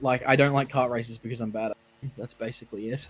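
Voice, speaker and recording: A man speaks at a very fast pace with an Australian accent. Music plays in the background. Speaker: gaming streamer. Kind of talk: casual chat. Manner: animated.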